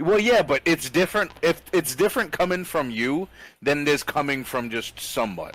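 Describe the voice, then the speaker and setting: This man has a fairly high voice and lively intonation. He talks at a moderate pace. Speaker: podcast host. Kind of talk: casual chat. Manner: loud.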